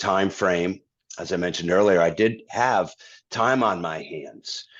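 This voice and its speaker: Here a man with an American accent speaks in a very deep, low pitch with fairly even intonation. His pace is moderate, and the background is quiet. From Massachusetts, US. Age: 60s. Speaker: singer-songwriter and guitarist. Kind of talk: interview conversation. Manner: halting, many fillers and repeats.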